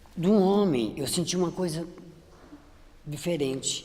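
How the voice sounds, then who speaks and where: Speaking at a moderate pace, a woman with a very deep, low pitch makes very wide pitch swings. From Brazil, São Paulo interior (Limeira). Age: 60s. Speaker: image consultant. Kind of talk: testimony. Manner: halting, frequent repetitions.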